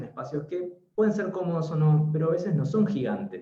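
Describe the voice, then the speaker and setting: A man speaks with an Argentine accent at a moderate pace. There is audible room echo. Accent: Argentine Spanish (Rioplatense). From Argentina. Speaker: interior designer. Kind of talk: webinar talk.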